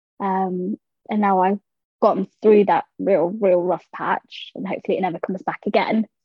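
A woman speaks with a London accent. Her intonation is fairly even. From South London. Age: 20s. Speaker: small animal vet. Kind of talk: interview conversation.

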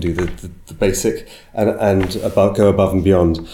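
In a British accent, a man speaks at a moderate pace with a fairly low pitch and a dark, mellow tone. His voice is somewhat breathy, and room echo is audible. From UK. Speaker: agency business development consultant. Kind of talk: interview. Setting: in person in London.

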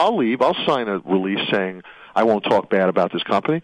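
A man with an American accent, talking at a very fast pace. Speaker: radio host. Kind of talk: talk radio monologue about workplace law. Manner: rambling, opinionated, halting with fillers.

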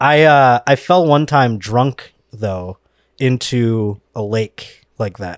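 A man with an American accent at medium pitch, ordinary pitch variation and a normal speaking voice, in a very clean recording with a silent background and a dry, close sound with no echo. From Buffalo, New York. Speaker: comedian. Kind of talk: casual chat.

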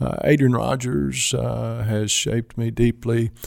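In a very clean recording with a silent background, a man with a Kentucky accent speaks with ordinary pitch variation. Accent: Kentucky Southern US. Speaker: mission organization president and pastor. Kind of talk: interview conversation. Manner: halting, frequent fillers.

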